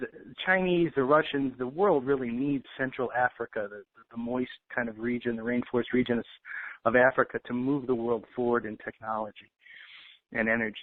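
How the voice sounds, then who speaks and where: Delivery moves at a moderate pace with ordinary pitch variation. It is an ordinary speaking voice. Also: man, medium pitch for a man. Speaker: financial intel commentator. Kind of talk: casual talk.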